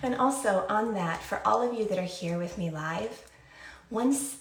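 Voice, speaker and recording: Moderate-paced speech from a woman amid audible room echo and noticeable background noise. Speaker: skincare brand founder hosting a livestream. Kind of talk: casual livestream talk.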